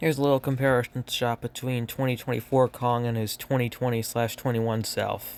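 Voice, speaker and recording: With monotone, flat intonation, a man speaks at a fairly quick pace in a medium pitch. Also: hardly any pauses. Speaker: toy collector youtuber. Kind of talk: toy review showcase.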